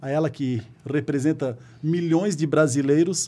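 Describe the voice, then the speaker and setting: This man has a dark, mellow tone and a fairly high pitch, speaking at a fairly slow pace. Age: 30s. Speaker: city councillor and volunteer firefighter. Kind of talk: interview conversation.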